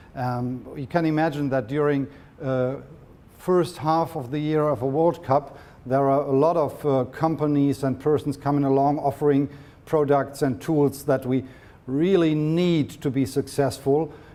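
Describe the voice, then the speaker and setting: A man with a German accent speaks at a fairly slow pace in a fairly high voice, with a dark, mellow tone and fairly even intonation. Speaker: sports medicine doctor. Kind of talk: lecture. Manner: halting, with repetitions.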